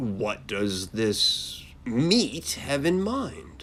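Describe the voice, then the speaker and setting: A put-on character voice sits at a low-to-middle pitch over clear background noise. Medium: read story. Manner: incredulous, disdainful.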